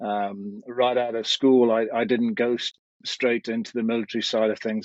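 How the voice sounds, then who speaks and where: Speech at a moderate pace comes through in a dry, close sound with no echo. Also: man, quiet background. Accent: English. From England (UK). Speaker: military and security trainer. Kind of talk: podcast interview.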